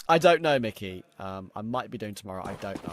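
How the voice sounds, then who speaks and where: This man has a fairly low pitch, a slight Australian accent, and lively intonation. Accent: slightly Aussie-sounding. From London, England. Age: 20s. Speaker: esports caster and streamer. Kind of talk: live commentary with chat replies.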